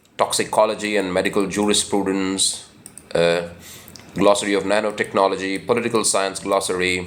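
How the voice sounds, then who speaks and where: A man with an Indian accent speaks in a fairly low voice with flat, monotone intonation. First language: Hindi. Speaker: book channel host. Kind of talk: informal talk. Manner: halting, many fillers.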